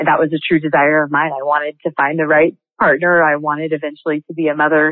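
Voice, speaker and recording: Flat and monotone, the voice moves at a very fast pace. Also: woman, very deep, low pitch for a woman. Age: 30s. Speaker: multi-level marketing entrepreneur. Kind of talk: interview.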